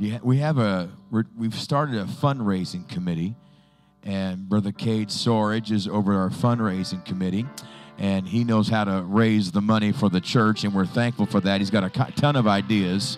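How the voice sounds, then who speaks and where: A man's fairly low-pitched voice, dry with no echo, over faint music in the background. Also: ordinary pitch variation, moderate pace. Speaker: pastor. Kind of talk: church announcements. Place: church.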